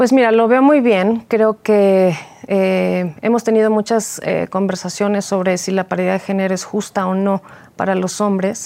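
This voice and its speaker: A woman speaks at a fairly slow pace in a dark, mellow tone, her medium pitch following a fairly even intonation. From Mexico City. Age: 40s. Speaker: political candidate. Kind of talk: interview. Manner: halting.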